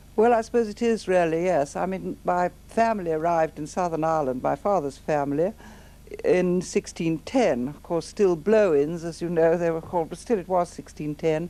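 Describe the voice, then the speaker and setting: Her tone is dark and mellow, with a fairly low pitch for a woman. She speaks at a moderate pace with ordinary pitch variation. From England. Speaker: memoirist recalling life in Nazi Germany. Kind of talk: interview.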